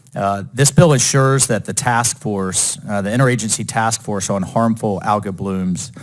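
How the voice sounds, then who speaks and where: With an American accent, a man speaks at a medium pitch. Background noise is noticeable. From Florida, Jacksonville. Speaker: politician. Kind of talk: committee floor speech. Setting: committee hearing room. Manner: formal.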